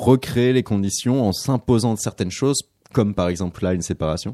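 Over a quiet background, a dark, mellow voice moves at a moderate pace with ordinary pitch variation in a dry, close sound with no echo. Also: man. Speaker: radio host. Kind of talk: radio interview. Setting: studio.

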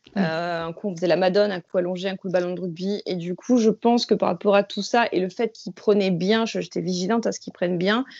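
A woman is speaking at a medium pitch. Her pace is fairly quick. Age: 30s. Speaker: laboratory technician and new mother. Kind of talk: casual chat. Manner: halting.

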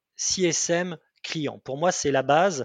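A man speaks with a fairly high pitch and ordinary pitch variation. The sound is dry and close with no echo, against a quiet background. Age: 40s. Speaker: pre-sales manager, client of customer success managers. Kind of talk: interview. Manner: halting, many repetitions and fillers.

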